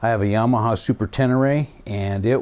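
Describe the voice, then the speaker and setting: A man with a dark, mellow tone and medium pitch talks at a moderate pace with fairly even intonation, in a very clean recording with a silent background. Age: 60s. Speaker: motorcycle vlogger. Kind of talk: casual monologue. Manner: halting.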